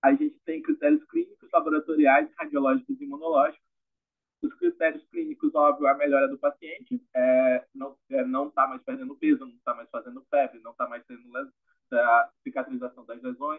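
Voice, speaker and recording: Speaking at a moderate pace, a man lets his loudness swing widely. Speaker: medical resident presenting a case. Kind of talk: case presentation.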